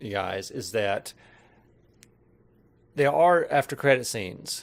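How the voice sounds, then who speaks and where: The intonation is lively. A man talks at a medium pitch. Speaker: film review vlogger. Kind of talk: casual film review monologue. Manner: halting, self-interrupting.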